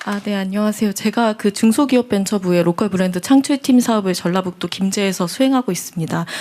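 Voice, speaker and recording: Very fast, nearly pauseless speech from a woman at medium pitch, ordinary pitch variation, noticeable background noise behind her. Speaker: local business operator in rural town. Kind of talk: panel discussion.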